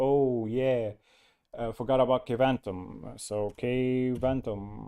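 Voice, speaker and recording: A man mumbles at a medium pitch with a dark, mellow tone and fairly even intonation. The background is quiet. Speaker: Linux distro developer and live streamer. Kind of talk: live stream tech chat and tutorial. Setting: live stream with screen share. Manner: mumbling; halting, many fillers.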